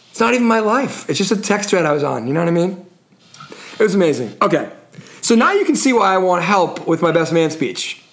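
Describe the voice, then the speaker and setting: A man talks fairly quickly at a high pitch with lively intonation. Audible room echo and noticeable background noise come through. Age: 40s. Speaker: podcast host. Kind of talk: casual chat.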